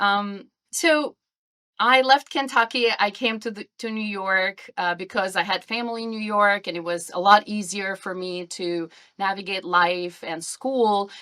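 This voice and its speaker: Speaking at a fairly slow pace in an Albanian accent, a woman has a medium pitch, ordinary pitch variation and a bright, sharp tone on a very clean recording with a silent background. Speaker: podcast guest. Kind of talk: interview.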